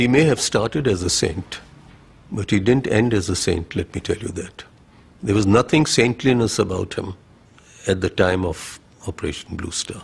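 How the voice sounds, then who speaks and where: The voice is somewhat breathy. Long pauses come often. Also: man, fairly low pitch for a man, ordinary pitch variation, moderate pace. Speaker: army officer. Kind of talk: interview answer.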